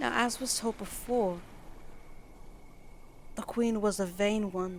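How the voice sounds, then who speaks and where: A woman with a British accent speaks at a very slow pace. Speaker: ASMR roleplay performer. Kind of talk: bedtime story reading.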